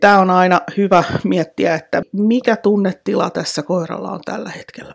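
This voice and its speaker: Vocal fry in a female voice, its pitch varying in an ordinary way. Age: 40s. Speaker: dog trainer. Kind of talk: solo podcast monologue.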